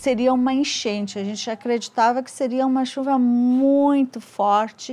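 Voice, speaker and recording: A woman with a high pitch speaks with ordinary pitch variation on a very clean recording with a silent background. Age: 60s. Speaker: retired bank worker, flood victim. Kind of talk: documentary interview testimony.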